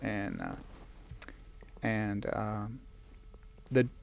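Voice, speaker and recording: A man with a Southern US accent. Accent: Southern American. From northeastern Alabama. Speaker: author. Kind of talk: interview answer. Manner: storytelling.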